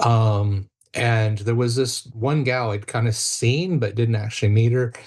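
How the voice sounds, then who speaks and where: A somewhat breathy male voice of medium pitch with an American accent. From United States. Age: 50s. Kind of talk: podcast interview.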